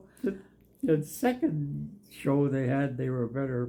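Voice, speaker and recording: A man speaks with a Canadian Prairies accent. His voice has a dark, mellow tone and a fairly slow pace. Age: 90s. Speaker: war veteran. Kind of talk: interview.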